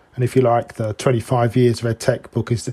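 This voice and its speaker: A man talks at a medium pitch in a somewhat breathy voice with a dark, mellow tone. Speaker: professor and author. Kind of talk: casual interview conversation. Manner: playful, joking.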